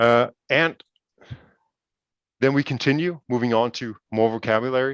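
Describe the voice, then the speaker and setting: Recorded dry and close with no echo, a man with a Danish accent speaks at a medium pitch. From Denmark. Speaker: project partner presenting educational game. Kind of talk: webinar presentation. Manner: hesitant, many fillers and repetitions.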